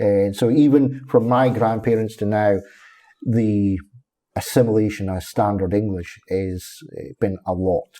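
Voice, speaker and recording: A man with a slight Scottish accent speaks slowly-ish, at a fairly slow pace, in a fairly low voice with a dark, mellow tone. His intonation is fairly even, and the recording is very clean with a silent background. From northeast Scotland, Fraserburgh. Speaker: council waste services officer. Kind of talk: casual interview chat.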